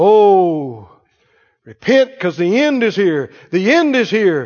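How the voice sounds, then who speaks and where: This man puts on a character voice pitched high. He delivers it at a fairly slow pace. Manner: fearmongering, urgent.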